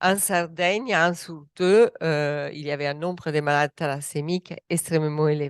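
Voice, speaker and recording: A woman's very deep, low voice in an Italian accent, with fairly even intonation and a moderate pace, dry and close with no echo against a quiet background. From Italy. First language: Italian (speaking French). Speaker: medical doctor, researcher. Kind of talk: panel discussion. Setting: round table with audience.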